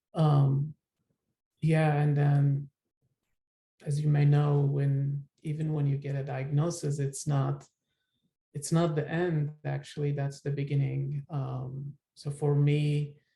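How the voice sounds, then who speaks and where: A man with an Iraqi accent speaks at a very slow pace in a dark, mellow tone, somewhat breathy. His intonation is monotone and flat, with long, frequent pauses. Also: fairly high pitch for a man. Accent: Iraqi Turkmen accent in English. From northern Iraq. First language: Turkmen. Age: 30s. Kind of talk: personal testimony. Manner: hesitant, many fillers.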